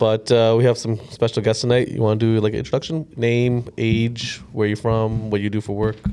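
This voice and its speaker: Over music in the background, a man speaks at a fairly quick pace in a monotone, flat intonation with hardly any pauses. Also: medium pitch for a man. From Canada (Ontario). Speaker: podcast host. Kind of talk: casual chat.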